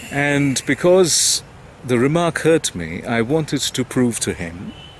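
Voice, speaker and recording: This man talks with noticeable noise in the background. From India. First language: not English. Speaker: English teacher. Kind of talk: personal talk to camera.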